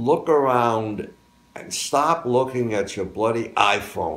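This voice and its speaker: A man speaks at a very slow pace with ordinary pitch variation. Audible room echo surrounds his voice. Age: 90s. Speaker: war veteran and graduating student. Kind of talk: interview. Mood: cheerful, lively. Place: home room.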